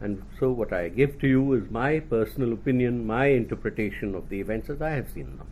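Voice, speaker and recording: Using lively intonation, a man with an Indian accent talks at a moderate pace and medium pitch. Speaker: retired Indian government official. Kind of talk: talk at a think-tank event. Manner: formal.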